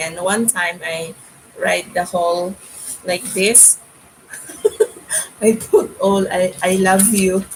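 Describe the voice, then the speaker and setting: Over noticeable background noise, a woman speaks very slowly with fairly even intonation and long, frequent pauses. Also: medium pitch for a woman. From Philippines. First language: Filipino language (Tagalog/Cebuano). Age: 50s. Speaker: YouTube vlogger. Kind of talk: casual livestream chat. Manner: halting.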